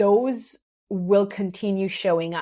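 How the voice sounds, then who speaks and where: Speaking very slowly, a woman with an Israeli accent uses a medium pitch. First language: Hebrew. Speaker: business mentor. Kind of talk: podcast interview. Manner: halting, with restarts and fillers.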